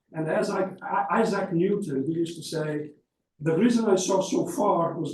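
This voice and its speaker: In a room with audible echo, a man talks at a high pitch with ordinary pitch variation. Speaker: academic conference speaker. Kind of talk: conference talk. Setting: conference hall with audience, microphone. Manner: fast.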